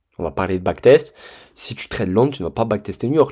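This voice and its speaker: A man's dark, mellow voice with vocal fry and very wide pitch swings, at a moderate pace, on a very clean recording with a silent background. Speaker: trading mentor. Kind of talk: tutorial. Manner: casual, hesitant with many fillers.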